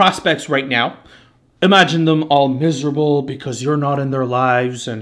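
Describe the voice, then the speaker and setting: Speaking at a moderate pace, a man talks in a French Canadian accent. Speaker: marketing agency owner. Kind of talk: live webinar presentation. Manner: loud.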